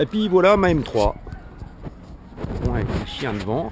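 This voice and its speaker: A man speaks with a Franche-Comté accent. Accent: rural Franche-Comté (Haut-Doubs) French. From Haut-Doubs, France. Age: 50s. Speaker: amateur car tuner. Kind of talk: casual car walkaround presentation to camera. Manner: casual, hesitant, repeats 'voilà' often.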